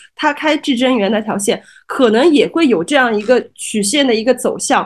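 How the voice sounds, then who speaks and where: Here a woman talks at a moderate pace. Her voice is high-pitched. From Shanghai, Changning district. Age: 30s. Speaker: guest co-host. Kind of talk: casual chat.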